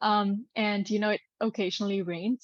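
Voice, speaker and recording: Speech comes at a moderate pace with fairly even intonation. The sound is dry and close with no echo, over a quiet background. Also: woman. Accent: Gujarati. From Singapore. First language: Gujarati. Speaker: actress and business mentor for actors. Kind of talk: podcast interview.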